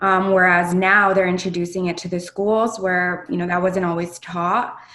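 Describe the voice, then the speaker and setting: Amid audible room echo, a woman speaks at a moderate pace in a medium pitch with monotone, flat intonation. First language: Spanish. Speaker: video podcast co-host. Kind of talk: casual chat.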